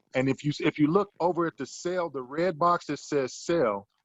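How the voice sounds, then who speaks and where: This man has an ordinary speaking voice. He talks at a fairly slow pace. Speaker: options trading teacher. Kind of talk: tutorial.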